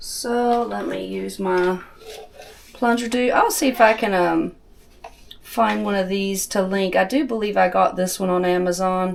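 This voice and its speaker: In a Southern US accent, a woman talks at a fairly slow pace. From US South. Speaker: homesteading cooking channel host. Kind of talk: cooking tutorial. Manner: casual, chatty.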